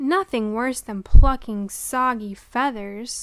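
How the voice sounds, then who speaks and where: A woman in a put-on character voice, high-pitched and fairly slow. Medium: read story. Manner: smooth, sly.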